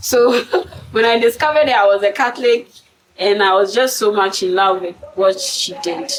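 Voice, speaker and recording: Lively intonation and a moderate pace come through over noticeable background noise. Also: woman. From Ghana. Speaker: poet. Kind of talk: interview answer.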